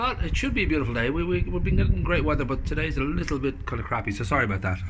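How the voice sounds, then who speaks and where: Very fast speech from a man against noticeable background noise. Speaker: interviewer. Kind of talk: casual interview questions.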